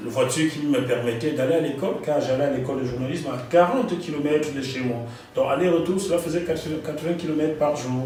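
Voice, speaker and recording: Ordinary pitch variation comes through at a very fast pace, with audible room echo and noticeable background noise. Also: man, fairly high pitch for a man. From Cameroon. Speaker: journalist and author. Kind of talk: interview.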